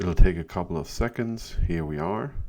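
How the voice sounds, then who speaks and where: On a very clean recording with a silent background, a man speaks at a fairly slow pace. His tone is dark and mellow, and his pitch varies in an ordinary way. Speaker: sysadmin tech YouTuber. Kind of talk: screen-recorded tutorial. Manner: casual.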